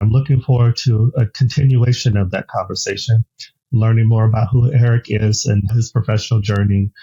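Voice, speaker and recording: With an American accent, a man speaks in a somewhat breathy, dark, mellow tone with fairly even intonation, the sound dry and close with no echo. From United States. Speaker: podcast host. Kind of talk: interview.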